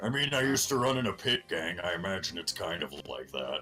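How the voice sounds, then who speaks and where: A man's raspy, put-on character voice at a fairly quick pace, with clear music in the background. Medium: actual play. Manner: blunt, casual.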